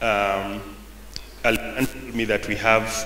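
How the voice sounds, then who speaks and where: There is light background noise and audible room echo around a man speaking. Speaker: presenter. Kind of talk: presentation talk. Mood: relaxed, friendly. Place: hall. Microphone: podium.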